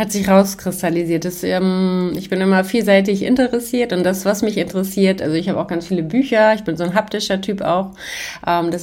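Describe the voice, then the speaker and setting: A woman's unremarkable speaking voice at medium pitch, with fairly even intonation and a moderate pace. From Hamburg, northern Germany. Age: 40s. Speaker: trauma therapist, former police detective. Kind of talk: casual interview.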